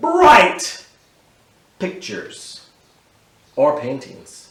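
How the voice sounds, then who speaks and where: A man with an American accent speaks at a very slow pace, with audible room echo around him. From Texas, Houston. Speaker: artist. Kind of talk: reading aloud. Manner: animated.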